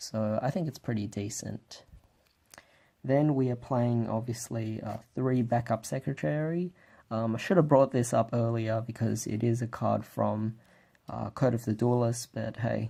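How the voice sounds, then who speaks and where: Soft-spoken and dark, mellow in tone, a man talks at a fairly slow pace with fairly even intonation on a very clean recording with a silent background. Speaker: card game deck reviewer. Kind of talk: casual talk to camera. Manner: quiet, keeping voice down.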